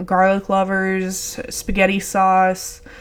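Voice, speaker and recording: Medium-pitched female speech with an American accent. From Texas. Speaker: podcast host. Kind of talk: casual monologue. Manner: laid back.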